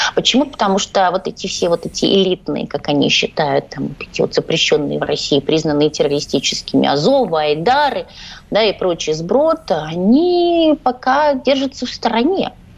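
This woman's voice sits at medium pitch with very wide pitch swings. She speaks at a moderate pace. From Ukraine, Odesa. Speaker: journalist. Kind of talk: radio interview. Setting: studio.

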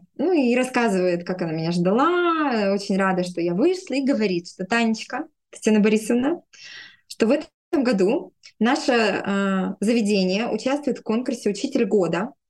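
A woman talks at a moderate speed in a fairly high voice that swings very widely in pitch. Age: 30s. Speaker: speech therapist. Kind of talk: interview storytelling.

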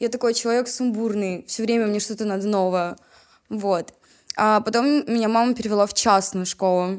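Fairly high pitch and fairly even intonation in a woman's unremarkable speaking voice. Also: moderate pace. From Chelyabinsk, Urals, Russia. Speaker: rapper. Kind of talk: casual chat.

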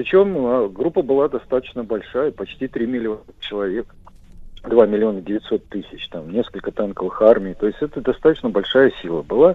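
Lively intonation colors a man's medium-pitched delivery at a moderate pace, an unremarkable speaking voice. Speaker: military historian. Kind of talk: radio interview.

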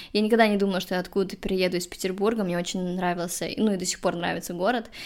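A woman at a very fast pace. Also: very clean recording, silent background. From Russia, Saint Petersburg. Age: 30s. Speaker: podcast host and social media worker. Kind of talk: casual interview.

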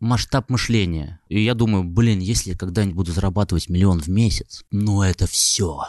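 With an ordinary speaking voice, a man talks at a moderate pace and fairly low pitch, with ordinary pitch variation and hardly any pauses, against a quiet background. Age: 30s. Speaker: music and blogger producer, entrepreneur. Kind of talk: interview.

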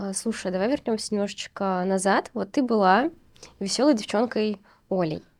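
A woman has a normal speaking voice with medium pitch and ordinary pitch variation. The recording is very clean, with a silent background. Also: moderate pace. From Uzbekistan. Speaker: podcast host, postnatal fitness trainer. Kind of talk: casual interview chat.

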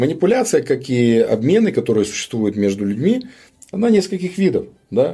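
At a moderate pace, a man speaks in a dark, mellow, somewhat breathy tone with very wide pitch swings. The recording is very clean, with a silent background. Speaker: businessman. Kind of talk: interview conversation.

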